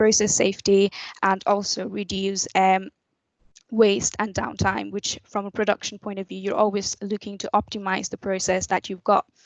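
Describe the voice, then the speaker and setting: A woman with a medium pitch speaks at a moderate pace in a monotone, flat intonation. Her loudness swings widely. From Nepal. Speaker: chemical engineer. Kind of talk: careers talk presentation. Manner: hesitant, with fillers.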